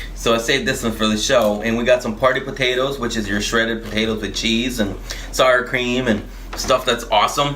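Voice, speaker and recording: Amid noticeable background noise and audible room echo, a man with a Spanish accent speaks at a medium pitch and a fairly quick pace. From Honduras. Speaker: podcast co-host. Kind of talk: casual chat.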